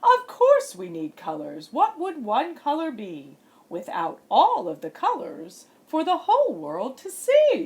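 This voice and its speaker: A woman uses a put-on character voice at a fairly slow pace. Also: hardly any pauses. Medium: read story. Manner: haughty, theatrical.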